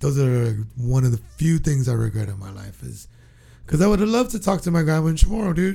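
Very fast and somewhat breathy, a man with an American accent talks at a fairly high pitch, his pitch swinging very widely and his loudness shifting a lot. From Guam and California. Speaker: podcast host. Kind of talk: casual chat.

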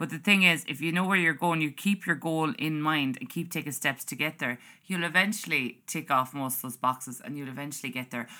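A woman speaks with a very deep, low pitch and a bright, sharp tone, showing ordinary pitch variation. Her pace is fairly quick with hardly any pauses, on a very clean recording with a silent background. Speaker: podcast host. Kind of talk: casual monologue. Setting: home recording. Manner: chatty, rambling.

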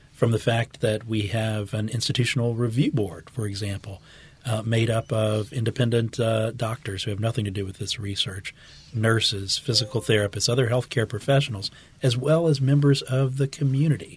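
At a moderate pace, a man speaks in a medium pitch with a somewhat breathy voice and fairly even intonation. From Louisiana (New Orleans West Bank). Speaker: medical oncologist. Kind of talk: podcast interview.

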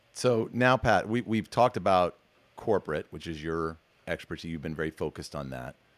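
A man with an American accent talks at a fairly quick pace, with lively intonation and vocal fry. His pitch is very deep and low, and the sound is dry and close with no echo. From US Northeast. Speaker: podcast host. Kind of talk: casual interview chat. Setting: video call. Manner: animated.

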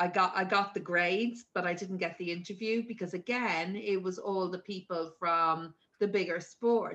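A woman with an Irish accent has a fairly low pitch and a bright, sharp tone. Her pace is moderate and her intonation fairly even. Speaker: sports governing body executive. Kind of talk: casual chat. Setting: video call.

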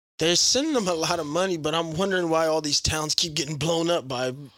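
A man with a fairly high pitch talks at a fairly quick pace in an animated tone, his pitch varying in an ordinary way. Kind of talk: casual banter chat. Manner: joking, animated.

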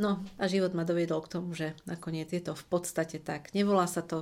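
A woman speaks with a fairly low pitch and monotone, flat intonation. The recording is very clean, with a silent background. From Slovakia, Košice. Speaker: communication trainer. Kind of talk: interview.

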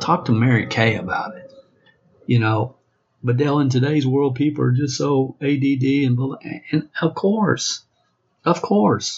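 Talking fairly slowly in a Southern US accent, a man keeps a medium pitch with ordinary pitch variation. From US South. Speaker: network marketing trainer. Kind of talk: training monologue. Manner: animated.

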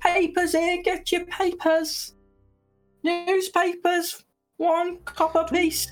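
In a put-on character voice of extremely high pitch, the words come very slowly and in a flat monotone, with faint music in the background. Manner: calling out, hawking.

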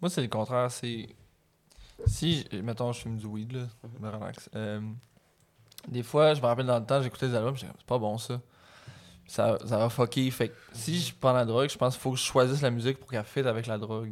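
A man with a medium-pitched voice talks at a fairly quick clip, his delivery broken by long, frequent pauses, with big swings in loudness and fairly even intonation. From Quebec (Montreal, Hochelaga). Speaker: rapper. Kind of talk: casual interview.

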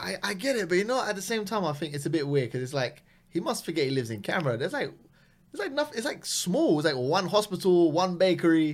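A man with a London accent speaks at a high pitch and a very fast pace. His pitch swings very widely. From West London, England. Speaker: comedian. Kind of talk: casual chat.

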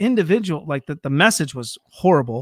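A man with an American accent and lively intonation at a moderate pace, dry and close with no echo, on a very clean recording with a silent background. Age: 40s. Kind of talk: casual chat.

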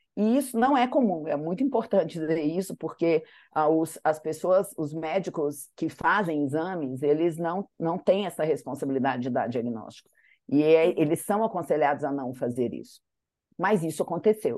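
A woman speaks at a fairly low pitch with a dark, mellow tone. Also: lively intonation, moderate pace, quiet background. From Brazil, Minas Gerais (Manhuaçu). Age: 50s. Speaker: advertising executive and teacher. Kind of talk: interview conversation.

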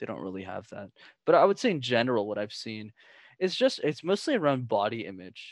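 A man speaks at a fairly quick pace and medium pitch, his voice swinging very widely in pitch and greatly in loudness, on a very clean recording with a silent background. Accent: Canadian. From Canada. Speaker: communication coach. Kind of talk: interview conversation.

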